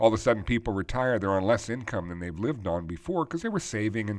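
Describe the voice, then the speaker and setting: Recorded very cleanly against a silent background, a man talks at a very fast pace with a fairly low pitch. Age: 50s. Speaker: financial advisor and podcast host. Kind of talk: solo podcast commentary. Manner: conversational with frequent fillers.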